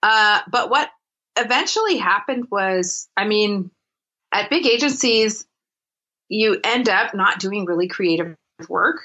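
With an American accent, a woman of fairly high pitch speaks at a fairly slow pace with lively intonation. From US West Coast, Los Angeles. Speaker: graphic designer and entrepreneur. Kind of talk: interview conversation.

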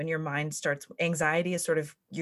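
Bright and sharp in tone, a woman with a Californian accent talks at a fairly quick pace with fairly even intonation on a very clean recording with a silent background. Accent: Californian American. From US West, California (South Lake Tahoe). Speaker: life coach. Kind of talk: casual interview. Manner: frequent laughter.

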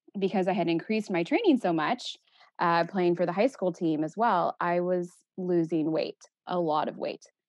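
Speaking with an American accent, a woman has a plain, everyday voice, a fairly low pitch and ordinary pitch variation. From Texas. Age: 30s. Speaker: eating disorder therapist. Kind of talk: casual interview.

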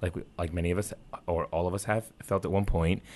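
In an American accent, a man speaks with a very deep, low pitch and a monotone, flat intonation. The background is quiet. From New York City area. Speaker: advocacy group co-founder. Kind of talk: interview.

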